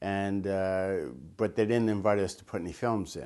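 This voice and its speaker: Over a quiet background, a man speaks at a moderate pace with a fairly low pitch and fairly even intonation. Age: 60s. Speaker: photographer and filmmaker. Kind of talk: interview reminiscence. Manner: halting.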